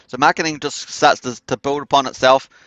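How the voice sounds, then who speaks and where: Against a quiet background, a man with a New Zealand accent speaks at a fairly quick pace with fairly high pitch. His intonation is monotone and flat, and the sound is dry and close with no echo. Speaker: crypto project promoter. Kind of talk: live stream presentation. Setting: live stream. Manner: casual, many filler words.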